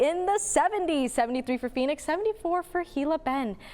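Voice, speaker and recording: Over noticeable background noise, a woman talks at a very fast pace with an extremely high pitch and lively intonation. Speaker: student broadcast meteorologist. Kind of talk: TV weather forecast. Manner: upbeat, conversational.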